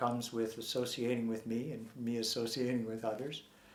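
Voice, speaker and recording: A man speaks at a moderate pace and medium pitch with monotone, flat intonation. Audible room echo surrounds the voice. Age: 60s. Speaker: former Scientology member and activist. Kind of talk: interview. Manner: halting.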